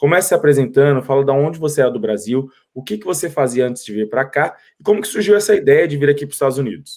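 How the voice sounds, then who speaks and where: A man rattles along at a very fast pace, his fairly high voice full of lively intonation. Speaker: YouTube host, interviewer. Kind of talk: interview. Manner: friendly, informal.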